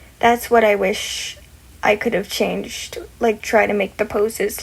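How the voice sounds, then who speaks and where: Behind a woman's speech, there is noticeable background noise. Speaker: content creator. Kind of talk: tutorial. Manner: stuttering; casual, halting.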